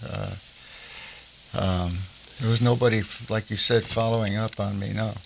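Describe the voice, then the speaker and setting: A man's fairly low voice in a monotone, flat intonation, with noticeable background noise. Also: moderate pace. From New Jersey. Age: 90s. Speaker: war veteran. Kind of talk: oral history interview. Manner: halting, with many fillers.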